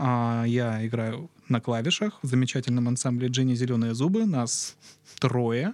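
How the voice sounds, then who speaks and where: At a fairly slow pace, a man uses an ordinary speaking voice at medium pitch, with ordinary pitch variation and very even loudness. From southern Russia, Krasnodar region. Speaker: podcast guest. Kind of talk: casual chat. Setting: studio.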